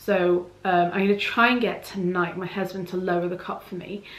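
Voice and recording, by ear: A woman's fairly low voice with fairly even intonation and audible room echo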